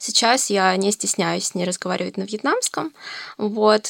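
In an unremarkable speaking voice, a woman talks at a medium pitch, the sound dry and close with no echo. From Russia, Novosibirsk. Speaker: university student. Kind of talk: casual chat.

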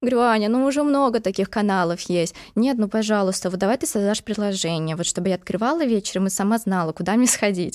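A woman talks at a very fast pace with hardly any pauses. Her medium-pitched voice keeps very even loudness and ordinary pitch variation. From Moscow, Russia. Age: 20s. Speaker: podcast host. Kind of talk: casual chat.

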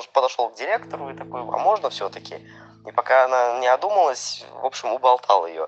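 A man talks at a fairly quick pace. He has an unremarkable speaking voice with a medium pitch. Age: 20s. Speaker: listener sharing a story, restaurant waiter. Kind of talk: recorded personal story.

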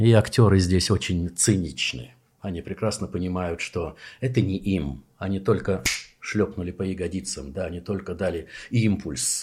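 Very deep and low in pitch, a man speaks at a moderate pace with ordinary pitch variation and vocal fry, recorded very cleanly over a silent background. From Soviet Union. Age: 60s. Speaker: actor and theatre director. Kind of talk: casual chat. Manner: animated.

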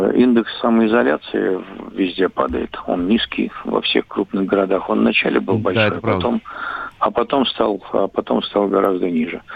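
A man's speech comes at a moderate pace, with noticeable background noise around it. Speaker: political analyst. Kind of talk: expert interview. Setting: phone call.

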